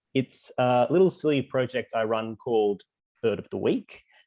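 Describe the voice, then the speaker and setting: With an Australian accent, a man speaks at a medium pitch and a moderate pace, the sound dry and close with no echo. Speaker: bird trivia writer and podcaster. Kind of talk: casual online presentation.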